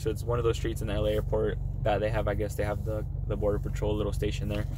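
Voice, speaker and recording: Noticeable background noise and audible room echo both surround this man as he talks. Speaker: job applicant vlogger. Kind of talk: casual vlog monologue. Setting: in a car while driving. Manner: fast; hesitant with many fillers. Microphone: poor audio quality.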